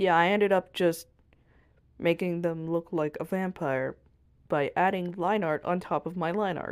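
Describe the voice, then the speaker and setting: At a moderate pace with ordinary pitch variation, the voice breaks into long, frequent pauses on a very clean recording with a silent background. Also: woman. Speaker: art channel creator. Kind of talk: drawing tutorial voiceover. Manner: soft-spoken, very quiet; casual, self-talking.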